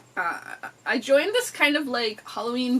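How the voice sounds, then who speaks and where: A woman speaks in an animated tone, her high voice swinging very widely in pitch. Noticeable background noise runs underneath. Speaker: book video creator. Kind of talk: casual book haul chat. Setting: indoors by an open window.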